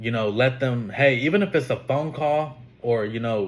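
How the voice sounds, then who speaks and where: His voice somewhat breathy, a man talks at a moderate pace. His pitch shifts in an ordinary way. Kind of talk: casual podcast monologue. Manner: casual, profane, emphatic.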